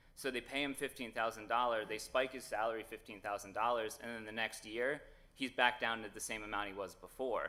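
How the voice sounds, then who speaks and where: Loud and at a fairly quick pace, a man speaks at medium pitch with a bright, sharp tone and monotone, flat intonation. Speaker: lawyer arguing in court. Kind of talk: oral argument before a court. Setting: courtroom. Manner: hesitant, many fillers.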